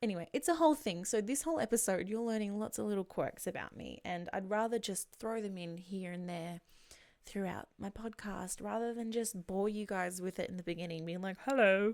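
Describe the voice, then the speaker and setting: This woman talks at a fairly quick pace. She has an Australian accent. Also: medium pitch for a woman, ordinary pitch variation. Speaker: podcaster, streamer, voice over actress. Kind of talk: casual podcast talk.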